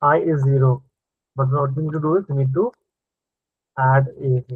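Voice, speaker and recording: Here a man speaks with a fairly high voice. His intonation stays fairly even. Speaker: programming teacher. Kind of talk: live online coding lesson. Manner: casual, thinking aloud; fast.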